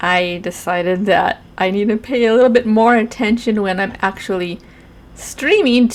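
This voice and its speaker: Her voice is an ordinary speaking voice, a woman's at a fairly high pitch with ordinary pitch variation and a fairly slow pace. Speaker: gamer and artist streamer. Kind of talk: voiceover narration of painting.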